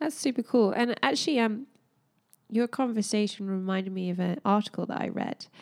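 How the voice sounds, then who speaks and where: The woman has an ordinary speaking voice with a fairly high pitch and ordinary pitch variation. She talks at a fairly quick pace. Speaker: podcast co-host.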